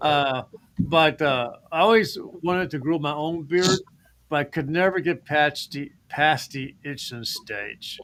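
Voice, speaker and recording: A man speaks at a fairly slow pace in a fairly high pitch. His intonation is lively, and his loudness swings widely. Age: 60s. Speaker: live show host. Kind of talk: casual chat. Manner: halting, many fillers.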